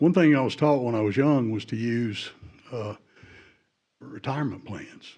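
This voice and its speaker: In a Southern US accent, the speaker keeps a moderate pace with ordinary pitch variation. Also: man. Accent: Southern US (Georgia). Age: 70s. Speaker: retired public safety worker speaking at public hearing. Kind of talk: public comment at hearing.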